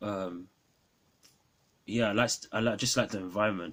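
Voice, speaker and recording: A man with a London accent talks at a moderate pace in a fairly low pitch with fairly even intonation, on a very clean recording with a silent background. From London, England. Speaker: film reviewer YouTuber. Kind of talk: casual film review vlog. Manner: hesitant, many fillers.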